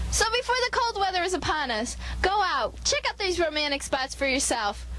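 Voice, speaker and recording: Noticeable background noise accompanies a woman speaking at a moderate pace with very wide pitch swings. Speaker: student news reporter. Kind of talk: campus TV news feature report.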